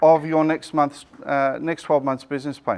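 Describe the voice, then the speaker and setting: Against a quiet background, a man speaks loudly at a moderate pace. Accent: Australian. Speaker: business coach and presenter. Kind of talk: business seminar presentation. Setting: seminar room with live audience. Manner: loud, projecting without microphone.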